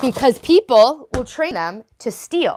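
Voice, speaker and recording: Someone speaks with a New York accent and an animated tone. The pitch swings very widely. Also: woman. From New York, Italian-American. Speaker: livestreamer. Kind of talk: casual livestream chat. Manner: fast.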